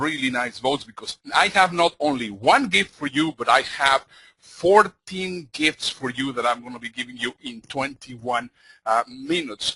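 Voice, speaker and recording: In a Spanish accent, the voice has a bright, sharp tone and ordinary pitch variation, recorded dry and close with no echo. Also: man. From Mexico. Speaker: motivational speaker. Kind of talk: conference talk. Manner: fast; animated.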